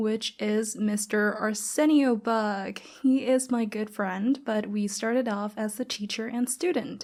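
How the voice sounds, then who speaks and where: A woman with a Thai accent and a dark, mellow tone, at a fairly slow pace with fairly even intonation. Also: very clean recording, silent background. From Thailand. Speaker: podcast host. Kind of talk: casual podcast monologue.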